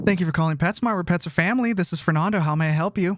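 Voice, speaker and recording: In a put-on character voice, raspy and middle-pitched, the speaker rattles along at a very fast pace. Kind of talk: polite, scripted customer service.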